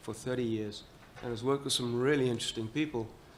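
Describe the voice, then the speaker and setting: A man with a medium-pitched voice speaks in a flat monotone with an American accent. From Southern Africa. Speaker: panel moderator. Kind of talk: panel moderation.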